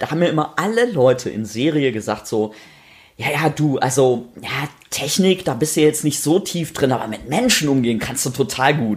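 This man's voice sits at a fairly high pitch and sounds somewhat breathy. His intonation is lively. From North Rhine-Westphalia, rural. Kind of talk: casual chat. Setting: home kitchen.

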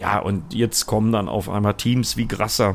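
A man speaks at a fairly slow pace. His pitch is fairly low and his intonation fairly even. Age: 50s. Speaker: motorsport commentator. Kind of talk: casual chat.

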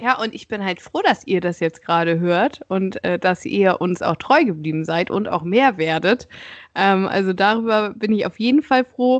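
Using an ordinary speaking voice, a woman talks at a moderate pace with medium pitch and lively intonation. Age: 20s. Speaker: podcast host. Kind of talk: casual chat.

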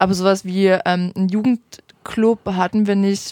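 Here is a woman with an unremarkable speaking voice. Her pitch sits in the medium range, and her intonation is fairly even. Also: dry, close sound with no echo. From Saxony, Vogtland. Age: 20s. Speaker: youth politician. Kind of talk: interview.

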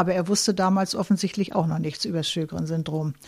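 The voice is somewhat breathy with a dark, mellow tone, heard on a very clean recording against a silent background. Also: woman. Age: 70s. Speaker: chemist and patient volunteer. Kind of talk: interview testimony.

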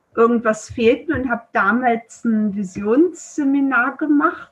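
Somewhat breathy, a woman speaks very slowly at a fairly high pitch. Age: 40s. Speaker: traditional Chinese medicine practitioner. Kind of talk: interview. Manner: hesitant, many filler sounds.

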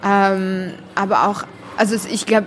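With music playing behind her, a woman speaks at a medium pitch in a monotone, flat intonation. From Syria, Damascus. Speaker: author and illustrator. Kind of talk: interview. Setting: café.

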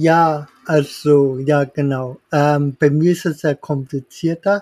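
This man talks at a very slow pace in a fairly high voice. The sound is dry and close, with no echo. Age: 30s. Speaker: tutor. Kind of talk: interview. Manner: halting.

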